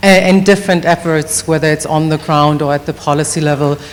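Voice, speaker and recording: A woman with a German accent and a fairly low pitch talks at a moderate pace amid noticeable background noise. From Germany. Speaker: policy advocate. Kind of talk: self-introduction at a summit.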